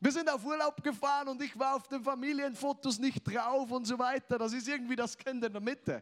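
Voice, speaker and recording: A man's voice at an extremely high pitch and a moderate pace. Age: 20s. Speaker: preacher. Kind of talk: sermon.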